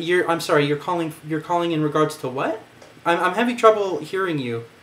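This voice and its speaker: Noticeable background noise accompanies a man whose high voice moves at a fairly quick pace with ordinary pitch variation. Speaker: vlogger. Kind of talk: casual monologue. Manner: halting.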